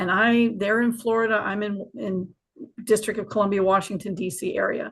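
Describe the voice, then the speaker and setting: At a moderate pace, a woman talks in a plain, everyday voice and a fairly high pitch. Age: 60s. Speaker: retired army officer, memorial president. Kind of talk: podcast interview. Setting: live streamed video podcast.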